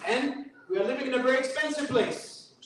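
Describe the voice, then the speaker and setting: Audible room echo surrounds a man speaking in a New York accent at an extremely high pitch. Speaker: imam giving a fundraising talk. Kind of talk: fundraising speech.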